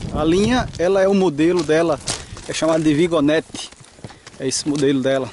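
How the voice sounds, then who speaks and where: A man talks at a moderate pace with lively intonation. The sound is dry with no echo, over light background noise. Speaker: hiking trail guide. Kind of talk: casual vlog commentary. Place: open country. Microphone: phone near.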